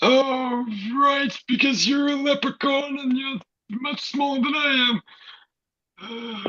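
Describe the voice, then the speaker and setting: In a put-on character voice with a high pitch, the speaker goes fairly slowly with long, frequent pauses. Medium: stage play.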